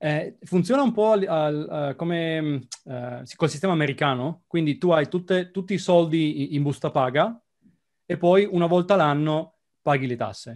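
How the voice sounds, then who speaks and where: Using ordinary pitch variation, a man talks at a moderate pace with a fairly high pitch. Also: quiet background. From Italy, Trieste; Italy. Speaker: software developer expat; interview guest. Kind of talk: casual interview. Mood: relaxed, chatty. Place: home room. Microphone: video call.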